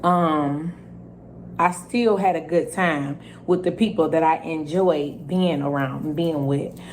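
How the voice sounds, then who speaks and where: Over audible room echo, a woman with a fairly low voice speaks at a very slow pace and with fairly even intonation. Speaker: YouTuber telling her own story. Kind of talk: storytime vlog. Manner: loud.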